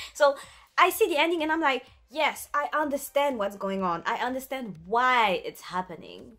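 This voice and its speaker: A woman speaks in a French accent with a high pitch. Her tone is bright and sharp, and her pace is moderate. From France. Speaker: YouTuber, anime and film commentator. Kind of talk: casual vlog monologue. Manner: animated.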